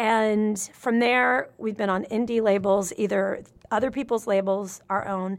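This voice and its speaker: At a moderate pace and medium pitch, a woman with a normal speaking voice and an American accent speaks with fairly even intonation in a very clean recording with a silent background. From US South, Nashville, Tennessee. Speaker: musician and comedian. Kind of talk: casual chat.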